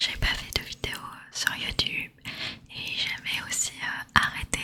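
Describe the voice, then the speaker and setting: Noticeable background noise is present. A woman speaks in a whisper. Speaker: ASMR creator. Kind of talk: ASMR whispered talk to camera. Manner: whispered.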